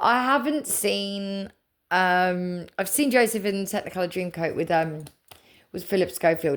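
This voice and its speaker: Lively intonation from a woman with an English accent, medium pitch and moderate pace, on a very clean recording with a silent background. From England. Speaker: spiritual content creator. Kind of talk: casual chat. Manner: rambling, halting.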